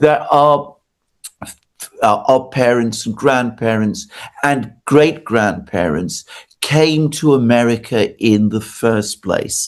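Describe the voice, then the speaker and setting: Long, frequent pauses break up a man's very slow speech. He has a British accent and ordinary pitch variation. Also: medium pitch for a man. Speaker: political commentator. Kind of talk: interview.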